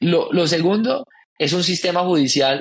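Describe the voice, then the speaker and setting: A man with a Colombian accent speaks at a moderate pace in a fairly high voice with ordinary pitch variation. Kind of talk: podcast interview.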